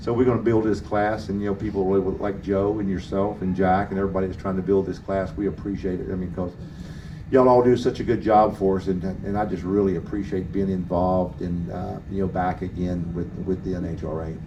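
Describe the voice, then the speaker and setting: A man with a very deep, low pitch talks at a very fast pace with fairly even intonation, and audible room echo surrounds him. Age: 60s. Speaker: drag racing motorcycle rider. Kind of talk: press conference interview. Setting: media center at race track. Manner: halting, many fillers.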